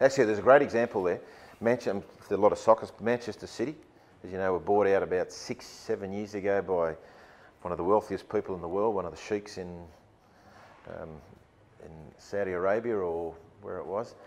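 Speaking with an Australian accent, a man talks at a fairly quick pace with long, frequent pauses. His fairly low voice shows ordinary pitch variation and big swings in loudness. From Sydney, Australia. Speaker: rugby league football director; guest. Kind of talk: keynote talk to business audience. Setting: stage with audience. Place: meeting room.

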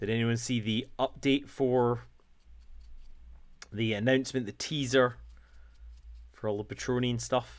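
A man talks at a fairly slow pace with long, frequent pauses. His intonation is monotone and flat, and the background is quiet. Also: medium pitch for a man. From Scotland. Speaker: painting livestreamer. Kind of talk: casual chat. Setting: livestream. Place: home room.

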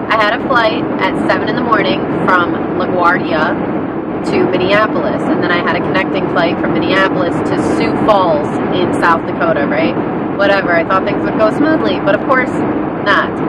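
A woman speaks at a moderate pace, her voice dry with no echo, over loud background noise. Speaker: vlogger. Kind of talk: casual vlog chat. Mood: exasperated, storytelling. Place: car. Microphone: phone near.

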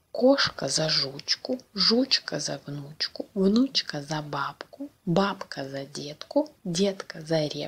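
Very slowly, a woman delivers her words. The pitch of her voice rises and falls over a very wide range. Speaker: Russian language teacher. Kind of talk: reading aloud a fairy tale. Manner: slow, clear pronunciation.

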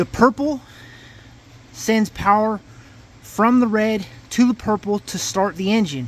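The speech comes at a fairly slow pace, and the sound is dry with no echo. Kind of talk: tutorial. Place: car.

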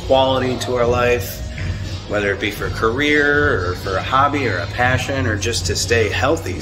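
A man's voice with ordinary pitch variation and clear music in the background. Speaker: fitness vlogger. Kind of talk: casual vlog chat. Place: gym. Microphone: phone near.

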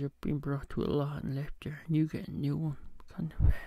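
A man's somewhat breathy voice with a dark, mellow tone comes through dry with no echo over a quiet background. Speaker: home vlogger. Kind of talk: casual vlog chat. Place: home room. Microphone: studio mic.

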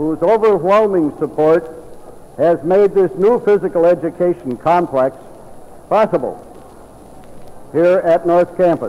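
Speech comes fairly slowly, its pitch rising and falling in an ordinary way. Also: man. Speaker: school board trustee. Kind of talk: formal dedication speech. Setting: recorded at a school gymnasium event. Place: hall. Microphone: old recording.

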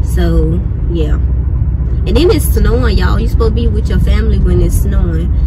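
Loud background noise accompanies a woman speaking at a fairly quick tempo. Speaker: vlogger. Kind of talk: casual vlog chat. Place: car. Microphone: phone near.

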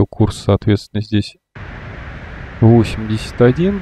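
This man's voice sits fairly low and is somewhat breathy. He speaks at a very slow pace. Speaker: flight simulator gamer and video creator. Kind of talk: casual gameplay walkthrough with tutorial explanations. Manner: loose, rambling narration full of fillers like вот and ну; self-correcting, mildly exasperated asides at mistakes.

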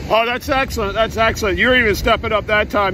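Against light background noise, a man uses a raised, projected voice with fairly even intonation, the sound dry with no echo. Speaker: amateur radio operator. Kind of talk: radio contact chat. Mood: friendly, pleased. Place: beach. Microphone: phone near.

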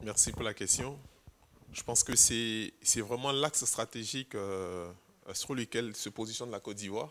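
A man in a bright, sharp tone at a fairly slow pace, with light background noise. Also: ordinary pitch variation. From Ivory Coast. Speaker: ICT specialist and co-founder. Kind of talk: panel discussion. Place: hall.

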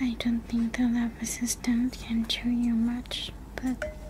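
A soft-spoken voice at a very slow pace, with noticeable background noise. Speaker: voice actor in audio roleplay. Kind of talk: roleplay character dialogue. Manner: soft, quiet, shy ASMR voice.

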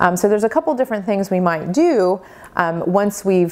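Her pitch moves in an ordinary way. The woman keeps a moderate tempo. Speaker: cooking instructor. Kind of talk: tutorial. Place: kitchen.

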